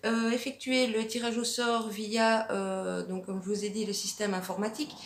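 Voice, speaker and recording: Over noticeable background noise, a woman with a fairly high pitch speaks at a fairly slow pace. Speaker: arts and crafts YouTuber. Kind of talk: casual vlog answering viewer questions. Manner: hesitant, many fillers (euh, ben).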